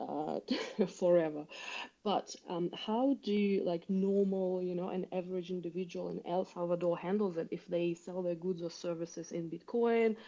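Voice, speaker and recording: A woman's fairly low, dark, mellow voice in a Russian accent, with fairly even intonation. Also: moderate pace. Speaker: caller. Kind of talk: audience question. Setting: online audio space.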